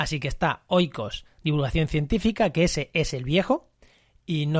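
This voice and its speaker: A fairly high-pitched man speaks with ordinary pitch variation, and the recording is very clean with a silent background. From Spain, La Mancha. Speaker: ecology podcast host. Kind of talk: solo podcast monologue. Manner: conversational, with frequent fillers and repetitions.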